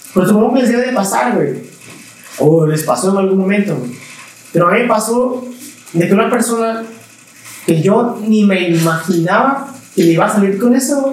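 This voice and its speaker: A man speaks at high pitch and a moderate pace, with lively intonation and long, frequent pauses. Audible room echo and noticeable background noise fill the recording. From Mexico, Veracruz. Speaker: musician. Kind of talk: casual chat.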